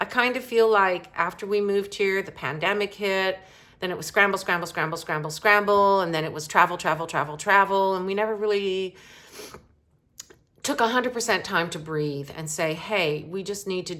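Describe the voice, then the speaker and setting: Her tone is bright and sharp, and this woman speaks at a medium pitch. She keeps a moderate pace with ordinary pitch variation. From Canada. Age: 60s. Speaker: romance author and vlogger. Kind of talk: unscripted personal vlog. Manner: conversational, with many fillers.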